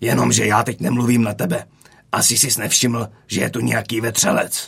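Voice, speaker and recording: Here a man does a growling, put-on character voice. His pitch sits in the medium range. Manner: threatening, growling.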